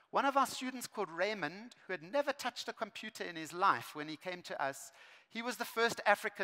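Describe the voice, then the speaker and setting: The voice is raised and projected, with a bright, sharp tone. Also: man, quiet background. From South Africa. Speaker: education speaker. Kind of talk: conference keynote. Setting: stage with large audience. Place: stage. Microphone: headset.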